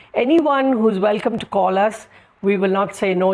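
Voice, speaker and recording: Here a woman talks at a moderate pace in a medium pitch. There is vocal fry, and her pitch varies in an ordinary way. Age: 70s. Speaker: social worker and migrant worker society chairperson. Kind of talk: interview. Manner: halting.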